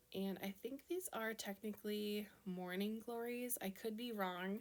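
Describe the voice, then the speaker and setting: A woman talks with a Minnesota accent at a fairly slow pace. Her intonation is monotone and flat. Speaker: card-making crafter. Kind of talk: tutorial. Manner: casual, chatty.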